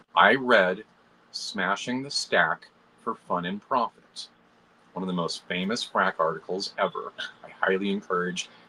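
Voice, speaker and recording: A man speaks in an animated tone. Background noise is noticeable. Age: 40s. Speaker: computational biologist and engineer. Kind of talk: casual chat.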